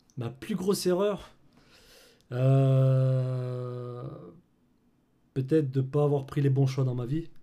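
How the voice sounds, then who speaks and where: With a dark, mellow tone and ordinary pitch variation, the voice moves at a very slow pace through long, frequent pauses, with audible echo from the room. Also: man, medium pitch for a man. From France, Clermont-Ferrand. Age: 30s. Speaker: filmmaker and colorist. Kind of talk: casual interview chat.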